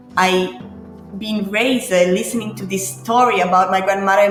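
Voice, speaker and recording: Over noticeable background noise and audible room echo, a woman speaks with an Italian accent. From Italy. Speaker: grappa distiller. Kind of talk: interview. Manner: halting; animated.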